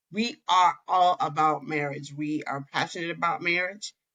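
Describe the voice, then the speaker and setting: A woman's bright, sharp tone with fairly even intonation and a slight New York accent. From New York City. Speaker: marriage counselor. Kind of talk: podcast interview.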